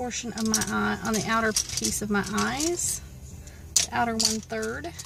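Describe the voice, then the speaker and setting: Through noticeable background noise, a woman with a Southern US accent speaks at a fairly slow pace. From US South. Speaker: beauty vlogger. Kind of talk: makeup tutorial. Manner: casual, chatty.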